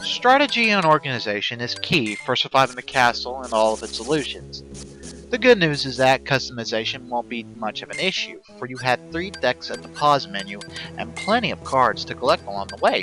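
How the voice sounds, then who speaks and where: With music in the background, a man talks at a fairly quick pace and medium pitch, with very wide pitch swings and big swings in loudness. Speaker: amateur video game reviewer. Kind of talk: video game review narration.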